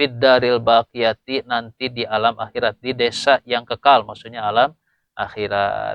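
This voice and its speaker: A man talks in a Sundanese accent at a medium pitch. His pace is moderate and his intonation monotone and flat. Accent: Sundanese-accented Indonesian. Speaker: Islamic boarding school teacher. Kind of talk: religious lecture. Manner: explanatory, with hesitations.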